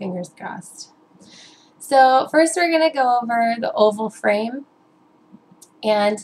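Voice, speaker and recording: A woman speaks in an upbeat tone with a fairly high pitch. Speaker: fashion and beauty vlogger. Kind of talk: tutorial. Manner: hesitant, many fillers.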